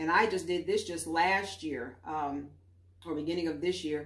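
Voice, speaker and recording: A woman's fairly low-pitched voice with fairly even intonation at a moderate pace, with audible room echo. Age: 60s. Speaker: YouTuber. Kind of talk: vlog monologue. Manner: casual with frequent fillers. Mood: calm, reflective. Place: home room. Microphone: camera far.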